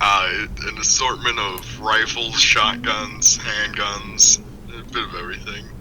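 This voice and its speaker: Amid audible room echo and noticeable background noise, a man with an American accent speaks at a fairly slow pace. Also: big swings in loudness. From rural Kansas. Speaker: guest. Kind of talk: casual chat. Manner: halting, many fillers.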